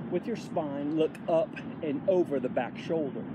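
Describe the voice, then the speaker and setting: Against loud background noise, a man talks at a fairly slow pace in a dry sound with no echo. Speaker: fitness instructor. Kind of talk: tutorial. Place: open country. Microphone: phone near.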